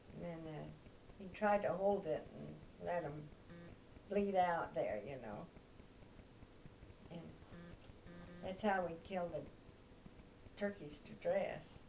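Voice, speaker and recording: Light background noise sits behind a woman with a Midwestern American accent. She speaks at a very slow pace with long, frequent pauses and big swings in loudness. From Kansas. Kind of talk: oral history interview answer. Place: home room. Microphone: camera far.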